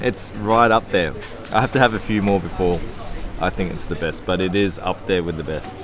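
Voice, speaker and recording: With music in the background, a man with an Australian accent speaks at a fairly quick pace in a very deep, low pitch with ordinary pitch variation. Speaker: food travel vlogger. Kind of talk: casual food vlog commentary. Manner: animated.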